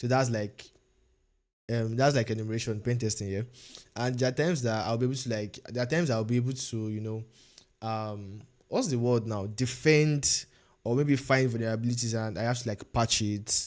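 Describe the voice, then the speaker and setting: A man with a Nigerian accent at a fairly quick pace, in a very clean recording over a silent background. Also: medium pitch for a man, fairly even intonation. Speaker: cybersecurity learner streamer. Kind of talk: casual livestream chat. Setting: livestream. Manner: hesitant, many fillers and repetitions.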